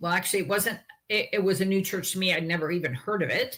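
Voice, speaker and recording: With a Canadian accent, a woman uses a medium pitch and ordinary pitch variation in an unremarkable speaking voice. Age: 60s. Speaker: author and health advocate. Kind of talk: interview testimony.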